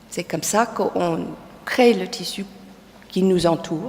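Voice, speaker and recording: Her intonation stays lively. This woman's pace is very slow. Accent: English. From United States. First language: English (speaking French). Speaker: textile designer and teacher. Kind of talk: lecture. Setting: lecture hall with audience. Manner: halting, many hesitations.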